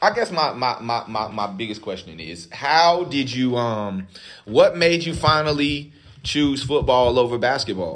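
A man with an American accent talks at a fairly slow pace. His pitch swings very widely. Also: medium pitch for a man. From US South, Durham, North Carolina. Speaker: podcast co-host. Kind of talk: casual chat. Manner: animated.

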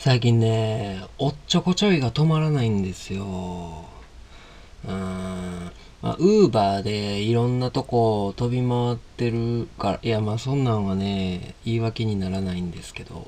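The speaker talks in a Kansai accent at a fairly slow pace, with ordinary pitch variation. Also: man, medium pitch for a man. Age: 30s. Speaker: podcast host, coffee vendor. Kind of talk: casual monologue. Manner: halting.

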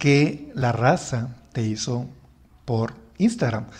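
A man with a Mexican accent sounds somewhat breathy. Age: 30s. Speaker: podcast host. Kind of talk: casual chat.

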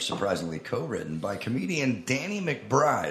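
Moderately paced, a man's speech comes through noticeable background noise. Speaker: podcast co-host. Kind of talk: live comedy podcast. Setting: stage with audience.

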